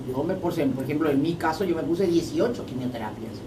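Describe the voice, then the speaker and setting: With lively intonation and a fairly quick pace, a woman speaks amid noticeable background noise and audible room echo. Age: 80s+. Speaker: former ambassador. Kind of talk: radio interview.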